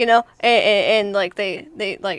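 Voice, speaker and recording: A woman with a Texan accent talks at a very fast pace with fairly even intonation. Noticeable noise runs in the background. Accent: Texan accent, natural. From Texas. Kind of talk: casual chat.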